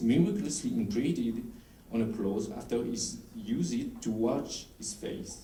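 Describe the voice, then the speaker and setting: Audible room echo around a man talking at a moderate pace. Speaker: historical researcher presenting at a conference. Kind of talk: conference presentation. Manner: halting, with stumbles and restarts.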